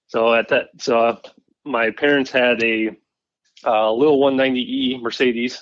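In a Pacific Northwest accent, a man talks at a fairly slow pace and a medium pitch with monotone, flat intonation. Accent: Pacific Northwest American. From Western Washington, Puyallup area. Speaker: digital marketing worker in off-road industry. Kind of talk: casual interview chat.

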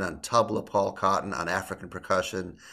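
In a very clean recording with a silent background, a man speaks with an American accent. His tone is bright and sharp, his pitch fairly low, and his intonation fairly even. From US Midwest, Illinois. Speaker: jazz guitarist. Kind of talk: casual interview.

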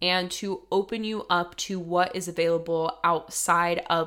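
Enthusiastic in tone, a woman with an American accent speaks at a fairly slow pace, her fairly low voice bright and sharp. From US, rural Colorado. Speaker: podcast host and manifestation coach. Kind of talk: solo monologue. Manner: casual, enthusiastic.

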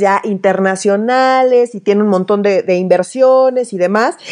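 A woman's medium-pitched voice with a Mexican accent. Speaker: political podcast host. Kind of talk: casual chat.

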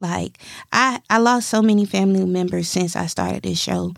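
The recording is very clean and the background is silent. A woman does the talking. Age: 30s. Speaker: podcast host. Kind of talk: casual monologue. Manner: animated.

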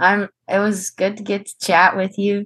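A woman talks at a moderate pace in an ordinary speaking voice, the sound dry and close with no echo. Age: 20s. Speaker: wheelchair basketball player and college student. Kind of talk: interview.

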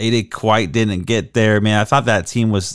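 A man talks in a plain, everyday voice, fairly low in pitch and at a fairly slow pace. The recording is very clean, with a silent background. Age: 30s. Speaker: sports podcast host. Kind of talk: casual solo commentary. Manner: casual, conversational.

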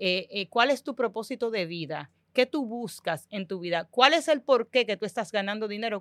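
Recorded very cleanly against a silent background, with a dry, close sound and no echo, a woman with an unremarkable speaking voice talks at a moderate pace in a fairly high pitch and lively intonation. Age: 30s. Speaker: financial educator. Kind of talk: casual chat.

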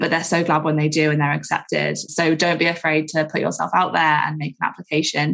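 A woman talks at a very fast pace with a very deep, low pitch. Vocal fry runs through her voice. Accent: British. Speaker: communications manager for a study campaign. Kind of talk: podcast interview.

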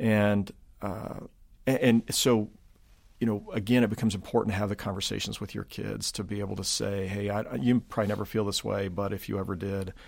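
Speaking at a fairly quick pace, a man with an American accent has an ordinary speaking voice, a fairly low pitch and fairly even intonation. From Kansas City area, US Midwest. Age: 50s. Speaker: pastor. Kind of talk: casual interview conversation.

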